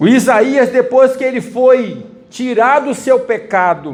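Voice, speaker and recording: Audible echo fills the room. In it, a man is talking. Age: 60s. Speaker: preacher. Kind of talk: sermon.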